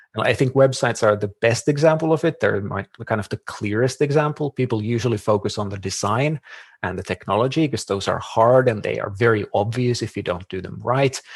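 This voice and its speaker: A man with a Finnish accent speaks at medium pitch, somewhat breathy, with ordinary pitch variation. He leaves hardly any pauses. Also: fairly quick pace. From Finland. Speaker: marketing consultant. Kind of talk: podcast interview.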